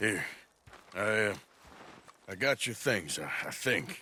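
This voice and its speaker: This man's put-on character voice is raspy and fairly low. The pace stays fairly slow. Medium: video game.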